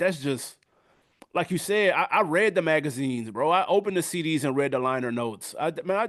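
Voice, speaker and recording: Here is a man with a normal speaking voice and an American accent. He talks at a fairly quick pace with ordinary pitch variation. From US South. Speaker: music review YouTuber. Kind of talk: casual interview chat.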